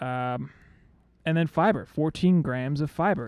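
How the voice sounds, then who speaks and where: A man's voice, a normal speaking voice with lively intonation, on a very clean recording against a silent background. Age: 30s. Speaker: podcast co-host. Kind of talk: casual chat.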